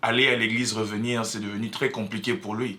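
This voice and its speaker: This man's voice has a medium pitch and a bright, sharp tone. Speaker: political commentator. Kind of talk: opinion commentary. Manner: halting, many fillers; mixes French and Lingala.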